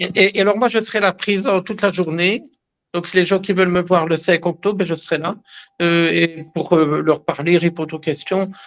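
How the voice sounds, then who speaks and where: His pitch sits high. This man talks at a moderate pace. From Belgium, Liège. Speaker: herbalist and naturopath. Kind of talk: interview. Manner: animated; halting.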